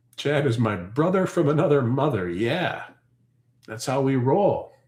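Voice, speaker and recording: In a Canadian accent, a man speaks at a fairly slow pace with a fairly high pitch, lively intonation, and vocal fry, amid audible room echo. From Ontario, Canada. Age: 40s. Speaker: homesteader and farm channel host. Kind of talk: casual livestream chat reading comments. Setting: live stream. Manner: animated.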